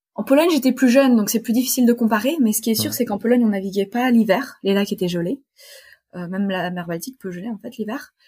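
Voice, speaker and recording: At a very fast pace, a woman speaks in a somewhat breathy, dark, mellow voice of fairly high pitch with big swings in loudness. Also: ordinary pitch variation, very clean recording, silent background. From Poland (French-Polish family). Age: 20s. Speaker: sailor and physics PhD student. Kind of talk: interview.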